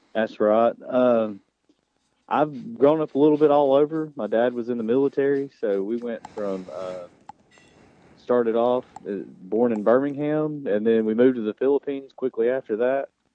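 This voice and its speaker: A man with a Southern US accent talks with ordinary pitch variation. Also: medium pitch for a man, moderate pace. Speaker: high school football coach. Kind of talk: radio interview.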